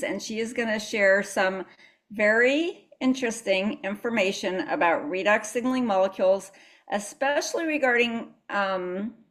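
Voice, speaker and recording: In an American accent, a woman with a plain, everyday voice speaks at a moderate pace, her fairly high pitch showing ordinary variation. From United States. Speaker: wellness presenter, co-host. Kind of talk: webinar introduction.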